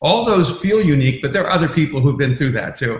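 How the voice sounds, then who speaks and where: There is audible room echo around a somewhat breathy man whose pitch is fairly high. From immigrant from another country. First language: not English. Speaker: pastor and author. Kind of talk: podcast interview.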